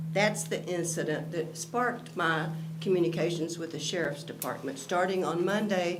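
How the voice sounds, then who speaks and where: A woman's fairly low-pitched voice at a moderate pace with fairly even intonation, amid audible room echo and noticeable background noise. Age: 70s. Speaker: member of the public giving comment. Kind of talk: public comment. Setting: county commission meeting, speaking into microphone.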